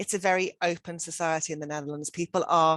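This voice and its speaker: A woman with a British accent speaks at a fairly quick pace in a fairly low, monotone and flat voice, the sound dry and close with no echo against a quiet background. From United Kingdom. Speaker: education centre director. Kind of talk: webinar presentation. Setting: online webinar.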